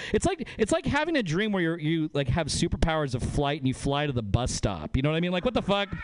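With an American accent, a man speaks at a fairly quick pace in a high voice with very wide pitch swings, and noticeable background noise is present. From northern Nevada. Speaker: comedian. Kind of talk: stand-up.

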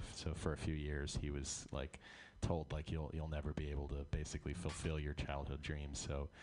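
Music plays in the background as a man with a very deep, low pitch speaks at a moderate pace. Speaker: musician in a band. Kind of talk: casual radio interview. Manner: animated, playful.

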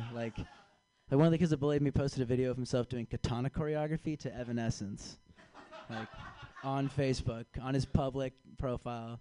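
A man with an American accent and a medium pitch speaks at a fairly quick pace, with long, frequent pauses. The sound is dry and close, with no echo. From California. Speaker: comedian. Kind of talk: stand-up. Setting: stage with audience.

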